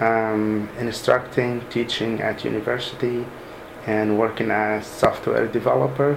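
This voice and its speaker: The recording has audible room echo. Noticeable background noise is also present. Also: man, medium pitch for a man, ordinary pitch variation, fairly slow pace. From Sudan. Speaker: software developer. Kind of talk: interview. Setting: mosque. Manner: halting.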